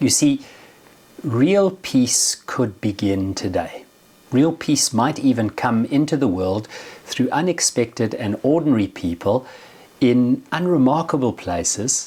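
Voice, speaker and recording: With noticeable background noise, a man talks fairly slowly at medium pitch, his intonation lively. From South Africa. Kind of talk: religious reflection.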